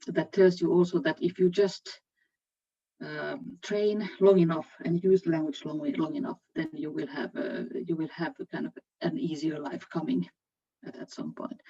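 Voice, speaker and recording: A woman with a Finnish accent talks at a moderate pace, her loudness swinging widely. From Finland. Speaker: HR executive. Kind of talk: panel discussion. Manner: halting.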